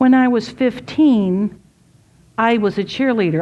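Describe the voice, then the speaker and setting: A woman's plain, everyday voice, fairly slow and with lively intonation, over a quiet background. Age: 60s. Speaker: women's ministry speaker. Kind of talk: talk to a women's gathering. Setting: room with live audience.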